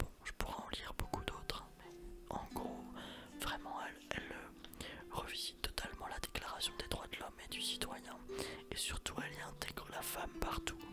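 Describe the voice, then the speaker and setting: Someone is whispering with long, frequent pauses. Music plays in the background. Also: moderate pace. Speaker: ASMR history narrator. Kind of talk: whispered ASMR history lesson. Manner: whispered, soft, relaxing.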